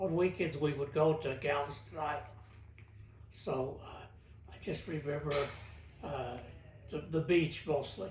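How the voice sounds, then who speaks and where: A man with an American accent and a fairly high pitch speaks at a fairly slow pace, with ordinary pitch variation and long, frequent pauses. Audible room echo fills the recording. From Texas, Houston. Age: 80s+. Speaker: interviewee, great-grandfather. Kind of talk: oral history interview. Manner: halting.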